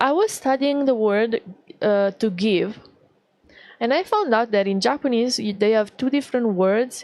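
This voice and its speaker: With an Italian accent, a woman speaks at a moderate pace and a fairly high pitch, with ordinary pitch variation. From Italy. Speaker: VTuber artist streamer. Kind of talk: casual livestream chat. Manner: halting, many fillers.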